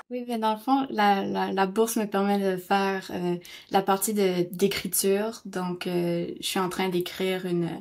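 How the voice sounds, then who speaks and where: On a very clean recording with a silent background, the speech comes at a fairly slow pace with fairly even intonation. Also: woman. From northern New Brunswick, Canada (Kedgwick). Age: 20s. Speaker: actress and playwright. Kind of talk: interview testimony. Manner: halting, many hesitations.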